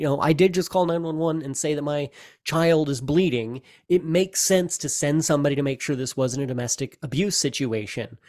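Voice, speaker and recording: On a very clean recording with a silent background, a man talks at a fairly quick pace in a plain, everyday voice, fairly high in pitch with ordinary pitch variation. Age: 30s. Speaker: podcast host, stay-at-home father. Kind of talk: casual chat.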